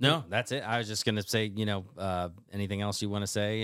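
Delivered at a fairly quick pace with fairly even intonation, an ordinary speaking voice comes through in a very clean recording with a silent background. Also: man. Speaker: podcast co-host. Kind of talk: casual chat.

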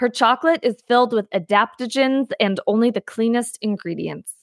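A woman speaks in an ordinary speaking voice, fairly high-pitched, with lively intonation at a moderate pace. The recording is very clean with a silent background and a dry, close sound with no echo. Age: 20s. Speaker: podcast host and learning specialist. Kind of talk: casual chat.

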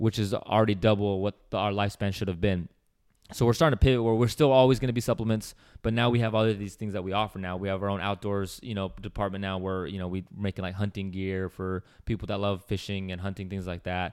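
A man speaks very fast on a very clean recording with a silent background. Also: fairly low pitch for a man. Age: 20s. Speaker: fitness supplement company employee, former college baseball player. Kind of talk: casual chat. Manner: animated.

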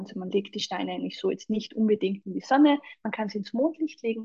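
A woman speaks with a Salzburg accent at a fairly high pitch. Her voice is somewhat breathy. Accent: Austrian (Salzburg) German. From Austria, Salzburg. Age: 40s. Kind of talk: casual interview chat.

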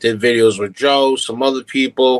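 The recording is dry and close with no echo as a man with a fairly high pitch talks at a moderate pace. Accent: American. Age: 30s. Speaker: social media content creator. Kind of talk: casual chat.

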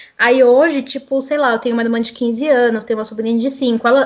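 At a fairly quick pace, a woman with a high pitch speaks with ordinary pitch variation. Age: 20s. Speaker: communications professional and writer. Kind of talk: casual chat.

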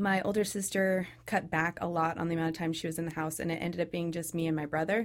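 A fairly low-pitched woman's voice with a Californian accent and fairly even intonation. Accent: Californian American. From California, Sacramento. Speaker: physical therapy graduate. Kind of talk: interview.

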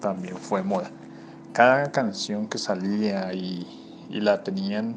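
Over noticeable background noise, a man speaks at a very slow pace with a fairly low pitch and ordinary pitch variation. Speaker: listener contributor. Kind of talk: recorded listener testimony.

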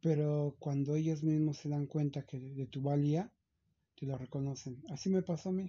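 Somewhat breathy, a man speaks at a moderate pace with a fairly high pitch and fairly even intonation. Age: 50s. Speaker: chauffeur. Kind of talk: interview. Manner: halting, many repetitions.

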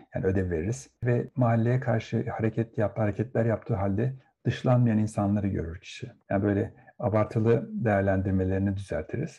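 Over a quiet background, a somewhat breathy man with a dark, mellow tone speaks at medium pitch and a fairly quick pace with ordinary pitch variation. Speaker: psychotherapist. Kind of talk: interview.

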